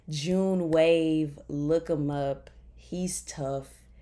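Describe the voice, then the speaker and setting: A woman with a Memphis accent speaks with monotone, flat intonation. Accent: Southern US (Memphis). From Memphis, Tennessee (US South). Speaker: podcast host. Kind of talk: casual faith talk. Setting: bedroom, recording on laptop.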